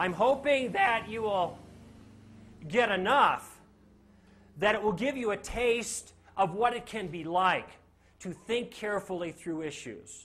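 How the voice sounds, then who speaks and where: Amid audible room echo, a man speaks fairly slowly in a high, animated voice with ordinary pitch variation. He leaves long, frequent pauses. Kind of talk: lecture.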